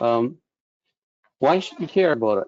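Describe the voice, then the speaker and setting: A man talks at a medium pitch. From Canada. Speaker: engineer. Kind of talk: webinar presentation. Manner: hesitant, many fillers.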